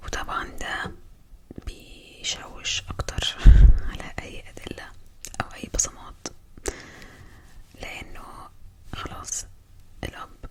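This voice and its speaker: Noticeable noise sits in the background. Under it, a woman whispers. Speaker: ASMR content creator. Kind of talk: true crime storytelling narration.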